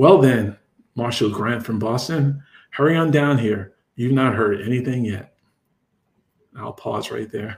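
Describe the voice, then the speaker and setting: A man speaks at a medium pitch and a fairly slow pace, his somewhat breathy voice broken by long, frequent pauses. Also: ordinary pitch variation. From New York. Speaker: romance author. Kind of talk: reading aloud.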